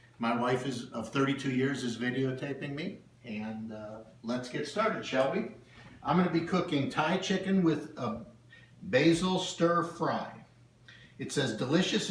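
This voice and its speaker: Amid noticeable background noise and audible room echo, a man with a fairly high pitch speaks with lively intonation. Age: 60s. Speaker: home cook vlogger. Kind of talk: casual cooking demonstration. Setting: home kitchen.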